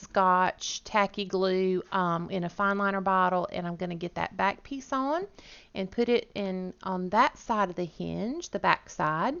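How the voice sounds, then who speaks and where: A woman with a Southern US accent speaks at a fairly slow pace, her medium pitch showing ordinary variation. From US South, Georgia. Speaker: crafting YouTuber. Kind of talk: voiceover tutorial narration.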